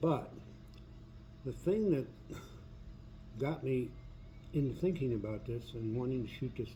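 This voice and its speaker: A man's dark, mellow, somewhat breathy voice with ordinary pitch variation and audible room echo. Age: 70s. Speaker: video blogger. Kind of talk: personal monologue. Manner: halting, with many fillers.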